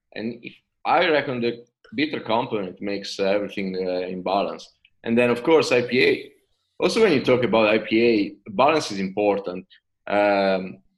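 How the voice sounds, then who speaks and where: The speaker is a man with an Italian accent. He keeps a moderate pace with ordinary pitch variation. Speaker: craft brewer. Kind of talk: casual chat. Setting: video call.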